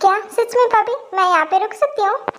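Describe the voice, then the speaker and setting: A woman puts on a character voice, squeaky and extremely high in pitch. She talks at a fairly quick pace. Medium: audio drama. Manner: bright, effusive.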